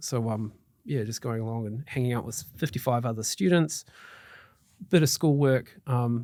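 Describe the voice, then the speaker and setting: A man with a New Zealand accent is heard on a very clean recording with a silent background. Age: 40s. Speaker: mortgage broker. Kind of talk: interview. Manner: hesitant, many fillers.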